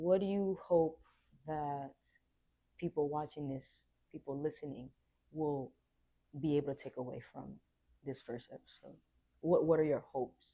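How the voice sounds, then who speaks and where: Long silences break up the speech often. Between them, the tempo stays moderate. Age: 30s. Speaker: podcast guest. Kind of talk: casual podcast conversation.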